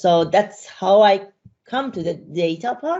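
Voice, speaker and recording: Against a quiet background, a woman speaks at a fairly slow pace with a Persian accent. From Iran. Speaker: data and AI consultant, speaker; speaker. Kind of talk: interview chat. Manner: halting, many fillers. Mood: relaxed, friendly. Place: home room. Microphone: video call.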